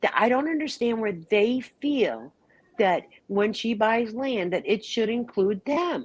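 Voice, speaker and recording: Speaking at a very slow pace, a woman uses lively intonation at a fairly high pitch. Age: 60s. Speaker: livestream panelist. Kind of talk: casual chat. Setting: livestream.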